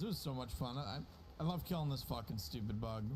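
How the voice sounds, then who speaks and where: A man talks at a fairly quick pace and medium pitch. Audible room echo surrounds his voice. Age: 20s. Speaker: gaming streamer. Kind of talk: casual gaming livestream chat.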